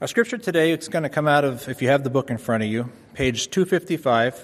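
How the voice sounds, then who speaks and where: An unremarkable speaking voice at a fairly quick pace, with ordinary pitch variation. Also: man. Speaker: scripture reader. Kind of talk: reading aloud. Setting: church.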